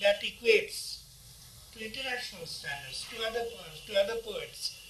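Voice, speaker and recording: The pace is moderate. Audible room echo and light background noise are present. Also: man. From India. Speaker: poet. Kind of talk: interview answer. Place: home room. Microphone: phone near.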